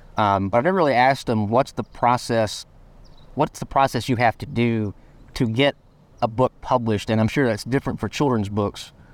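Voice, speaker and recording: On a very clean recording with a silent background and a dry, close sound with no echo, a man speaks fairly quickly at medium pitch with ordinary pitch variation. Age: 30s. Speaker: podcast host. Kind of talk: casual chat. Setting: outdoors.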